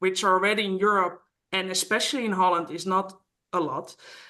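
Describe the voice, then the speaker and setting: A woman's medium-pitched voice with a bright, sharp tone and a Dutch accent against a quiet background. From Netherlands. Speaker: mediator. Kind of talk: interview. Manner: halting.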